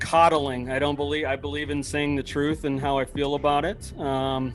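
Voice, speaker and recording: Speaking at a moderate pace with an Upper Midwest accent, a man with a fairly high voice keeps a flat, monotone delivery while music plays behind him. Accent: Upper Midwest American. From US Midwest, Minnesota. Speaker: podcast host. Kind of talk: casual chat. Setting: video call.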